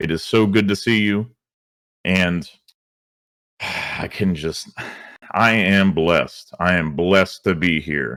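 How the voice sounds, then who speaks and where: A man speaks at a very slow pace with a very deep, low pitch and ordinary pitch variation, leaving long, frequent pauses. The recording is very clean, with a silent background. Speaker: esports league host. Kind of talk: esports broadcast intro. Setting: livestream. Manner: animated.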